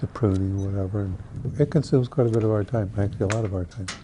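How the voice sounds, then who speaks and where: A man speaks at a very fast pace. His pitch is fairly low. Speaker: orchard farmer. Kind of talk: documentary interview.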